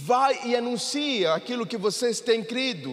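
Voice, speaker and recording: Audible room echo and noticeable background noise fill the recording. Through them, a man talks with ordinary pitch variation. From Mexico. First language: Spanish (speaking Portuguese). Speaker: pastor. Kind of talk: sermon.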